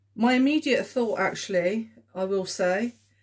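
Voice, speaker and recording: In a southern English accent, the speaker is heard on a very clean recording with a silent background. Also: woman. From southern England. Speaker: tarot reader. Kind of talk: tarot reading video. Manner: hesitant, many fillers.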